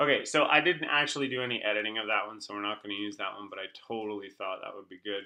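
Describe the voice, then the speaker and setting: A man with a Canadian accent at a fairly quick pace. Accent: Canadian, self-described as weird. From Canada. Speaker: online marketing coach. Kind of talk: screen-share tutorial. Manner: casual, filler-heavy.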